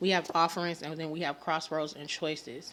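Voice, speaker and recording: A woman's voice at a fairly low pitch. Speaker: spiritual card reader. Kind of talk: channeled tarot reading. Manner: fast; casual, conversational.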